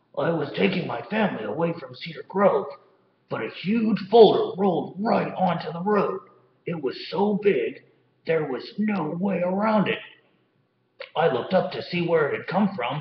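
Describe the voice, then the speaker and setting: A man puts on a character voice pitched high. His loudness swings widely. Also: moderate pace. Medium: read story.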